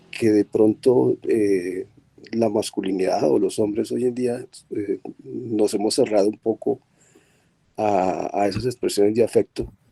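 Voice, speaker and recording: A man talks at a very slow pace with long, frequent pauses, the sound dry and close with no echo. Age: 60s. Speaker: audience member. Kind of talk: question from audience. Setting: video call.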